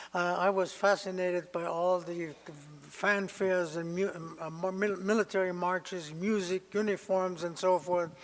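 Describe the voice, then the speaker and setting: With a German accent, a man speaks at a high pitch with fairly even intonation. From Germany (Berlin). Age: 90s. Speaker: Holocaust survivor speaker. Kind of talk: testimony. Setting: lecture hall with audience. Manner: halting, many hesitations.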